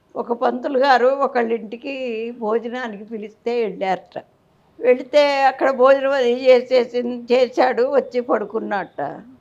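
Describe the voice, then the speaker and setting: Her high-pitched voice carries fairly even intonation as the woman speaks. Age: 80s+. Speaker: elderly interviewee. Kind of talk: interview storytelling.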